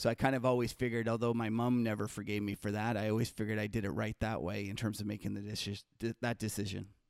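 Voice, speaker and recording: This man speaks very fast in a fairly low voice. His intonation stays monotone and flat. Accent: Canadian. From Canada. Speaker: market strategist. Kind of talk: casual interview conversation.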